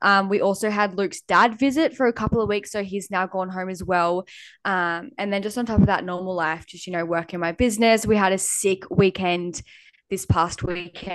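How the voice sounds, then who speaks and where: Against a quiet background, a woman with an Australian accent speaks at medium pitch and a moderate pace, with ordinary pitch variation. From Australia, New South Wales north coast. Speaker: podcast co-host. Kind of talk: casual chat.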